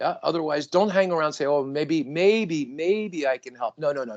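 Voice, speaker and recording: An unremarkable speaking voice from a man, fairly high in pitch and fairly quick, with ordinary pitch variation, big swings in loudness, hardly any pauses, and a dry, close sound with no echo. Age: 60s. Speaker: podcast guest. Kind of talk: casual podcast conversation.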